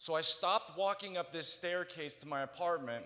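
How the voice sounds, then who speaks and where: A man with an American accent, high pitch, ordinary pitch variation, and a moderate pace. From central California. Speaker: motivational speaker. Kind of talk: testimony. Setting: stage with audience.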